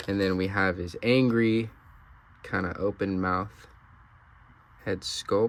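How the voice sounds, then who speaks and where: A man with a fairly low voice talks at a very slow pace, his intonation fairly even and broken by long, frequent pauses. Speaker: action figure reviewer. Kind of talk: product review. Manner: casual, hesitant with fillers.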